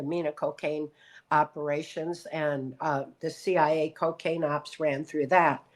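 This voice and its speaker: Someone with an American accent speaks at a moderate pace against a quiet background. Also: woman. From Michigan, US Midwest. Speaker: abuse survivor and speaker. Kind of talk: interview testimony. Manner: halting, with fillers.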